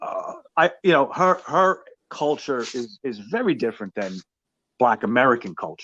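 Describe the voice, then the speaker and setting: A man with a New York accent speaks with very wide pitch swings. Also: fairly high pitch for a man, moderate pace. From New York City (Brooklyn). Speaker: podcast host. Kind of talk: casual interview chat.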